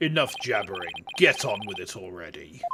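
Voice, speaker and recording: This is a put-on character voice. It is delivered in a British accent. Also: moderate pace. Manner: impatient, imperious.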